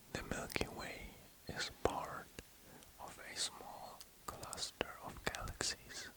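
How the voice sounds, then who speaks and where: A man whispering at a very slow pace, with long, frequent pauses, big swings in loudness and noticeable background noise. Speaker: ASMR artist. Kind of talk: ASMR sleep reading of space facts. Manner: soft-spoken, whispered.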